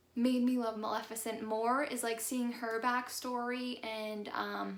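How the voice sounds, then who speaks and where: A woman speaks at a moderate pace with a fairly high pitch and monotone, flat intonation, and audible room echo surrounds her voice. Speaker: YouTuber. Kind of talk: casual vlog chat. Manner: many filler ums.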